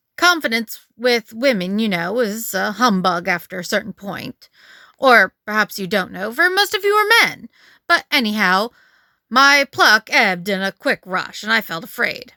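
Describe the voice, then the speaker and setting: A female-sounding, put-on character voice with a fairly high pitch at a moderate pace, on a very clean recording with a silent background. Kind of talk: Edwardian ghost story reading. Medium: read story.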